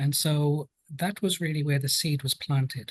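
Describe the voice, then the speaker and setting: A man with a British accent, fairly high in pitch and somewhat breathy, with fairly even intonation, a moderate pace, and a dry, close sound with no echo. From London, England. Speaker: occupational health and safety specialist. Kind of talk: podcast interview.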